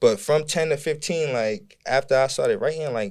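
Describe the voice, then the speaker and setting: A man with an American accent at a fairly high pitch and moderate pace, lively intonation, very clean recording and silent background. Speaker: rapper. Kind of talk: interview. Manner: casual.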